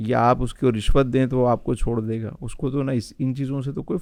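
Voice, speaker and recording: In a normal speaking voice, a man talks at medium pitch with ordinary pitch variation over a quiet background. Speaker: Islamic scholar. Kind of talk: podcast interview answer.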